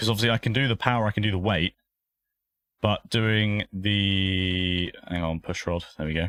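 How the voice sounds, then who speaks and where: With a southern English accent, a man speaks at a fairly low pitch and a moderate pace, his intonation fairly even. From southern England. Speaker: sim racing streamer. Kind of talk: live stream commentary while sim racing. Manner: casual, chatty.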